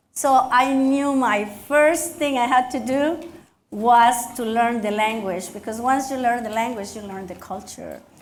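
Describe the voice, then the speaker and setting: In a Mexican accent, a woman with a high pitch speaks at a fairly slow pace, with audible room echo around her. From Mexico. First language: Spanish. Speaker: county commissioner and dentist. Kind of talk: speech at luncheon, onstage interview. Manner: animated.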